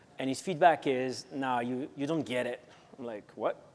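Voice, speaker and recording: A man speaks at a fairly quick pace in a French accent, his pitch fairly high. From France. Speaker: marketing executive. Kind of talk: panel interview.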